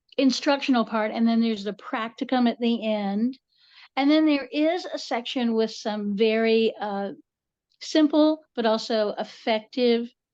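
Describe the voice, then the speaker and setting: With a Southern Appalachian accent, a woman speaks at a fairly slow pace and a fairly high pitch, with ordinary pitch variation and a quiet background. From US South, western North Carolina. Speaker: author and folklorist. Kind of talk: interview. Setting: podcast recording.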